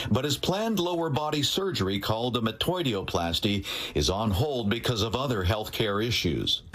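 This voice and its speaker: At a moderate pace and very even loudness, a man of medium pitch talks with very wide pitch swings and hardly any pauses over noticeable background noise. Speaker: TV news reporter. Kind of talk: TV news report narration.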